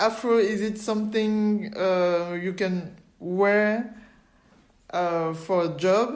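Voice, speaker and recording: Speaking very slowly with a non-native accent, a woman uses a medium pitch and fairly even intonation, and the room adds audible echo. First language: French. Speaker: podcast host. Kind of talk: interview. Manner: halting.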